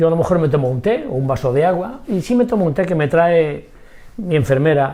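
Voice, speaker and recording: Somewhat breathy and dark, mellow in tone, the voice moves at a fairly quick pace with very wide pitch swings. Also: man. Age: 80s+. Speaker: macrobiotics doctor. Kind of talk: interview. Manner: energetic.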